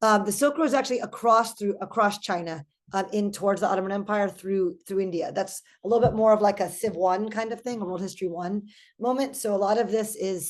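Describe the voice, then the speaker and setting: Against a quiet background, a woman talks at a fairly quick pace, her pitch medium and her pitch variation ordinary. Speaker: history professor. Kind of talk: lecture. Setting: video call. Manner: fast; casual, many fillers.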